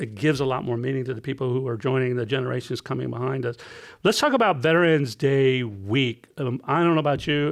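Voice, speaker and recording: The speech comes at a very fast pace with ordinary pitch variation over a quiet background. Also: man, medium pitch for a man. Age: 60s. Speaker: veterans post commander and Marine veteran. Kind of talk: casual interview chat. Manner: halting, with many false starts.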